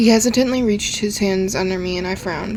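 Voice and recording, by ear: The pitch moves in an ordinary way as the speaker reads aloud in a natural voice.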